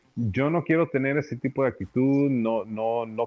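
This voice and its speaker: This man has a plain, everyday voice. He speaks at a fairly slow pace with ordinary pitch variation. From US-born of Nicaraguan family. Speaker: deck builder, business owner. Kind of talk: interview.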